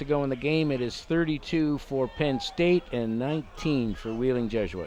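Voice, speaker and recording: A man talks in a normal speaking voice. His pace is moderate and his pitch varies in an ordinary way. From Canada. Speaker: rugby color commentator. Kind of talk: live sports commentary.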